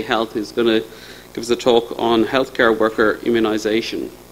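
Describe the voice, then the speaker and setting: A man talks with an Irish accent. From Ireland. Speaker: session chair, immunology researcher. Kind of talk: conference session chairing. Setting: stage with audience. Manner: hesitant with frequent fillers. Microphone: podium.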